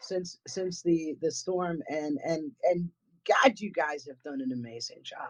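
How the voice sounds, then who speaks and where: With a New England accent, a woman speaks fairly slowly at a fairly low pitch, her intonation lively and her loudness swinging widely. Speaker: paranormal investigator. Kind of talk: casual chat.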